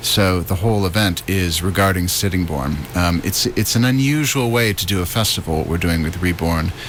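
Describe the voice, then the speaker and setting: Through noticeable background noise comes a man's very deep, low voice with an American accent and ordinary pitch variation. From US Midwest, Detroit area. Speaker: writer and arts producer. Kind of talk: radio interview. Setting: radio studio.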